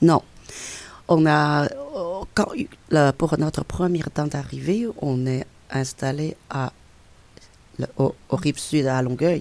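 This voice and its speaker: With a Chinese accent, a woman speaks at a very slow pace with long, frequent pauses. Her pitch is very deep and low, with ordinary variation. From China, Beijing. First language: Chinese (speaking French). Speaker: immigrant guest. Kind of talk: interview. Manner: halting.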